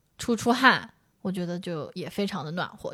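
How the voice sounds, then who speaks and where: The recording is very clean, with a silent background. A woman with an ordinary speaking voice talks at a fairly quick pace with lively intonation. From Jiangsu-Zhejiang region. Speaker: podcast co-host. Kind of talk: casual chat.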